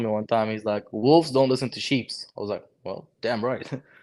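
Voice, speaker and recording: Delivery holds to a moderate speed, with intonation that stays fairly even. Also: man. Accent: Lebanese. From Lebanon. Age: 20s. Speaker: HVAC technician and content creator. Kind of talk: casual chat. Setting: livestream.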